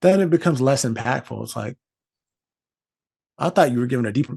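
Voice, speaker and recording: A man with an American accent talks at a very fast pace. His voice is somewhat breathy, with a dark, mellow tone. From US South. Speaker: podcast host, actor. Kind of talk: casual chat. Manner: animated.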